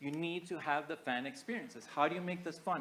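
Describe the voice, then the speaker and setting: A loud man with a fairly high pitch, a bright, sharp tone, ordinary pitch variation and a fairly quick pace. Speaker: architect presenting at a conference. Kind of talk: conference presentation.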